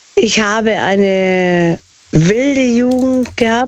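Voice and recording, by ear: A woman with a slightly mellow tone talks at a very slow pace. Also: medium pitch for a woman, ordinary pitch variation.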